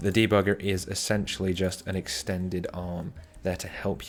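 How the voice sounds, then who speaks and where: Over background music, a man talks in a very deep, low voice with fairly even intonation. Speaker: malware analysis tutorial creator. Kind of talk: screen-recorded tutorial. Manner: hesitant, many fillers and restarts.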